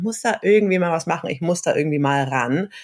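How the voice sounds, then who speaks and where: Here is a normal speaking voice at a fairly quick pace. Its intonation is lively. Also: woman. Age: 30s. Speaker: social worker and copywriter. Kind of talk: casual interview.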